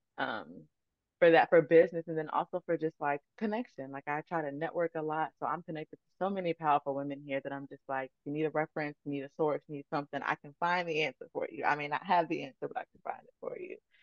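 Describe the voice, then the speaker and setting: A woman with an American accent speaks at a very fast pace and a very deep, low pitch, with fairly even intonation, big swings in loudness, and a dry, close sound with no echo. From Virginia, Chesterfield. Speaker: virtual assistant and podcaster. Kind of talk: casual interview chat.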